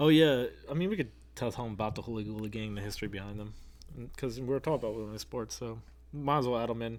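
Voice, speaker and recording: The voice has an American accent and ordinary pitch variation. It moves at a very fast pace. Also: man, medium pitch for a man. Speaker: paranormal podcast co-host. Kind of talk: casual chat.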